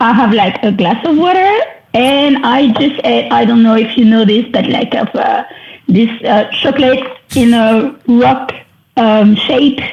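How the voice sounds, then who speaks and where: A woman speaks with a French accent at a fairly slow pace. Her voice is high, with ordinary pitch variation and very even loudness. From France. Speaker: wedding photographer. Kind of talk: podcast interview.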